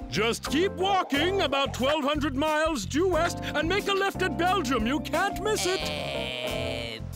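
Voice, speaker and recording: A put-on character voice over loud background music. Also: fairly slow pace. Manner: smooth, unctuous, mock-serene.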